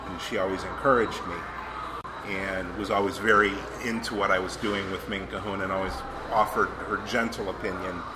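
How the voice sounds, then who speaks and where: Over noticeable background noise, a man talks at a fairly quick pace in a fairly low pitch with monotone, flat intonation. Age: 40s. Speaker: pipe accessory artisan, former lawyer. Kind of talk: casual interview. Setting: restaurant with background noise. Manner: hesitant, with fillers.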